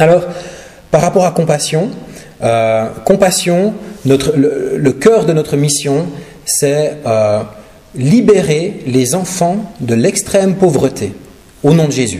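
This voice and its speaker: With a slight Swiss French accent and lively intonation, the voice moves at a very slow pace with long, frequent pauses, amid noticeable background noise and audible room echo. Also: man, fairly high pitch for a man. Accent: slight Neuchâtel Swiss French. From Switzerland, Neuchâtel region. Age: 40s. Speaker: guest preacher and charity representative. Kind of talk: sermon and charity presentation. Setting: church service. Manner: hesitant, many fillers.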